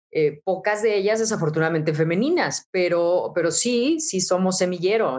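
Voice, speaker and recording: At a fairly slow pace, a woman with a medium-pitched voice speaks with lively intonation. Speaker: radio announcer. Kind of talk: interview.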